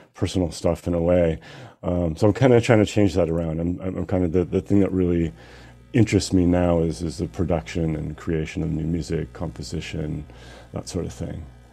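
A man with an American accent speaks at a moderate pace, his very deep, low pitch showing ordinary variation. Music plays in the background. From US, Seattle. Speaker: DJ and music producer. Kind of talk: casual interview. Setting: video call. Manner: halting.

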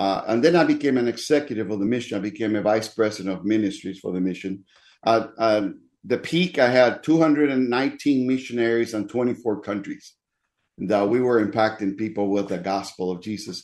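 A man in a Spanish accent at medium pitch and a moderate pace, with ordinary pitch variation against a quiet background. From Dominican Republic. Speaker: pastor. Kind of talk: interview, personal testimony.

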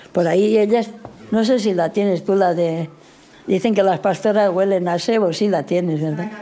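Noticeable background noise sits behind the recording. A woman talks at a moderate pace, her pitch varying in an ordinary way. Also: medium pitch for a woman. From rural Guadalajara, Spain. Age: 80s+. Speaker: elderly villager. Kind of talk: interview.

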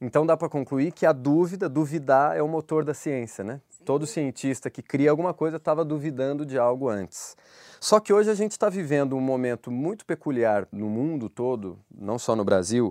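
Against a quiet background, a man with an ordinary speaking voice and fairly high pitch talks at a moderate pace with lively intonation. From Brazil, Minas Gerais. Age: 30s. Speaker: podcast host. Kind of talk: interview. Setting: studio.

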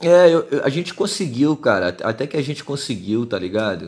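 With a Rio de Janeiro accent, a man speaks with ordinary pitch variation. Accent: Carioca Brazilian Portuguese. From Rio de Janeiro, Brazil. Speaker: rapper. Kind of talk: casual chat.

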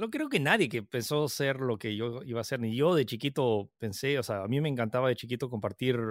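An ordinary speaking voice from a man at medium pitch and a fairly quick pace, dry and close with no echo, in a very clean recording with a silent background. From Peru. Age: 30s. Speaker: tech content creator. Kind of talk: interview.

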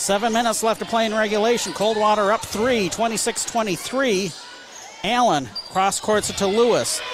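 A man with a high voice talks at a moderate pace. Noticeable background noise is present. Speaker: radio play-by-play announcer. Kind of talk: live sports commentary. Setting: gymnasium, radio broadcast table.

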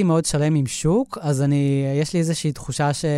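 The speaker is a man with a fairly high pitch. His pace is moderate. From Israel, moshav near Netanya. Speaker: animator and filmmaker. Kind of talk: interview. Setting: studio. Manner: halting.

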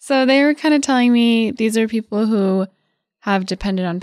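A woman with a plain, everyday voice speaks at a moderate pace in a medium pitch and ordinary pitch variation, recorded very clean against a silent background in a dry, close sound with no echo. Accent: American. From Colorado. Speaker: North County reporter. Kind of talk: casual podcast chat.

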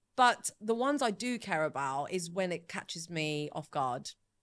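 The voice is animated, with a bright, sharp tone and very wide pitch swings, at a fairly slow pace. The recording is very clean, with a silent background. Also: woman, long, frequent pauses. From Sicily, Italy; moved to England as a child. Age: 30s. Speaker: social media agency founder. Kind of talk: casual interview. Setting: studio, on a sofa.

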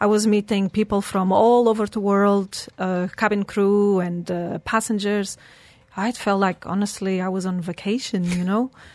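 A woman with a Portuguese accent speaks at a moderate pace in a medium pitch, her intonation monotone and flat. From Portugal. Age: 40s. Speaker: humanitarian and founder of a charity foundation, record-setting athlete. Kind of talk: casual interview chat. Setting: radio studio.

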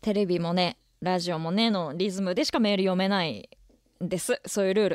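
A normal speaking voice from a woman at medium pitch and a fairly quick pace, with ordinary pitch variation, dry and close with no echo, on a very clean recording with a silent background. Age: 20s. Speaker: radio host. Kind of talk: casual chat. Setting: studio.

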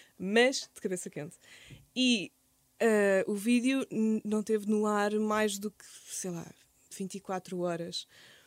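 The delivery is very slow, with long, frequent pauses, ordinary pitch variation and big swings in loudness, on a very clean recording with a silent background and a dry, close sound with no echo. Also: woman, medium pitch for a woman. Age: 30s. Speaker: content creator and podcaster. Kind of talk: casual interview.

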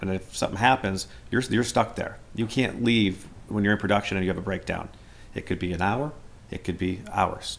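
An ordinary speaking voice goes at a fairly quick pace with fairly even intonation. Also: man. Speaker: dairy farm worker. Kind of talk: interview.

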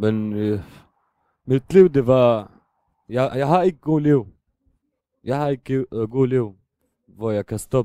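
With a non-native accent, this voice has a dark, mellow tone and a very slow pace with long, frequent pauses, recorded dry and close with no echo over a quiet background. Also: man, medium pitch for a man, ordinary pitch variation. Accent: non-native Danish. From Syria, Damascus. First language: Arabic (speaking Danish). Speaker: refugee and drug user. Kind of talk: interview. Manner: halting.

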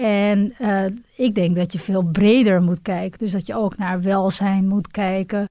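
A woman speaks at a fairly slow pace in an ordinary speaking voice. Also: medium pitch for a woman, fairly even intonation. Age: 40s. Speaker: businesswoman, travel agency director. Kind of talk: interview.

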